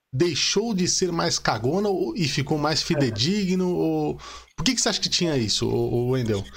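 Very wide pitch swings in a fairly high male voice. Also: long, frequent pauses, very even loudness. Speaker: podcast host. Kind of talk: casual chat. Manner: animated.

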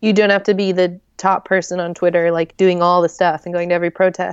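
At a moderate pace, a woman with an American accent speaks at a fairly low pitch in a monotone, flat intonation. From US Southwest and Midwest (New Mexico, Oklahoma, Joplin Missouri). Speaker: author. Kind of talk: casual interview chat.

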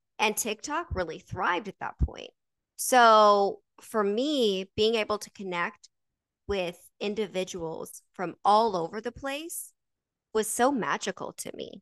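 A woman with a normal speaking voice talks at a fairly slow pace, her fairly high pitch and lively intonation paired with big swings in loudness, in a dry, close sound with no echo against a quiet background. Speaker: podcast host. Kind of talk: casual chat. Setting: livestream.

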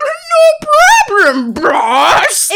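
This is a put-on character voice at an extremely high pitch. Its pitch swings very widely. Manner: cheerful, obliging.

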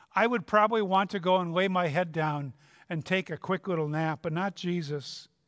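A man with a Minnesota accent, high pitch and ordinary pitch variation at a moderate pace, on a very clean recording with a silent background. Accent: Upper Midwest (Minnesota) American. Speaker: retired pastor, guest preacher. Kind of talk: sermon. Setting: church.

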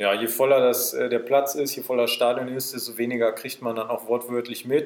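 Noticeable background noise sits behind this man's voice. He talks at a fairly quick pace with monotone, flat intonation. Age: 20s. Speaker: football referee. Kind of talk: casual chat. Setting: in a pavilion at the club grounds.

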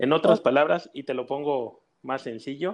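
Speaking in an ordinary speaking voice, a man goes at a fairly slow pace with ordinary pitch variation. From Mexico City. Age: 30s. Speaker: mortgage executive. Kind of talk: interview.

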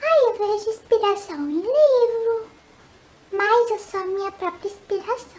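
A woman speaks at an extremely high pitch and a fairly slow pace. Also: ordinary pitch variation. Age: 20s. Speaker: photography youtuber. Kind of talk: casual vlog Q&A. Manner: animated.

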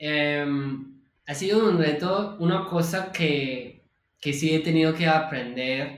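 In an American accent, a man with a fairly high pitch and ordinary pitch variation speaks at a very slow pace amid audible room echo. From California, US. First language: English (speaking Spanish). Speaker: UX designer. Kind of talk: casual interview.

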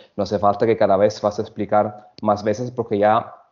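A man's fairly low voice, in an Italian accent, at a moderate pace. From Italy (Sicily). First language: Italian (speaking Spanish). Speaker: hotel food and beverage director. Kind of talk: interview. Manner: halting.

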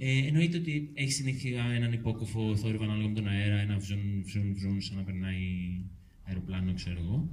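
A man talks at a moderate pace in a fairly low, somewhat breathy voice. Audible room echo is present. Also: ordinary pitch variation. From Euboea, Greece. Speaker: local resident activist. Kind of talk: public talk. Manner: halting.

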